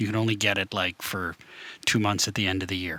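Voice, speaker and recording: A man with a Wisconsin accent and a bright, sharp tone, dry and close with no echo, on a very clean recording with a silent background. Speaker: band member. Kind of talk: casual chat. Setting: livestream Q&A in his basement.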